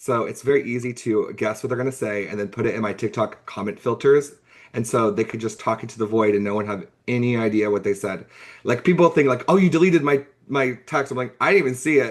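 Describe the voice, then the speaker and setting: A man's medium-pitched voice, very fast and with lively intonation. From US (moved from Hungary at age five). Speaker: social media creator. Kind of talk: podcast interview.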